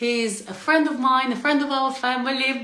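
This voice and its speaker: A woman speaks in a high pitch with an animated tone. Audible room echo and noticeable background noise surround her voice. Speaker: interview channel host. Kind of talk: casual interview. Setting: online video call.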